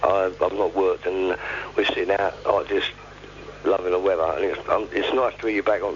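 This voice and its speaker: A man with a London accent talks at a fairly quick pace. Noticeable background noise runs underneath. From East London. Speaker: caller. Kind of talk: casual chat.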